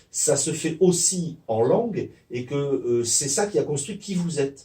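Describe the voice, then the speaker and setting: Somewhat breathy, a man talks with a dark, mellow tone and lively intonation. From Provence, France. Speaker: sociolinguistics professor. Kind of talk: interview answer.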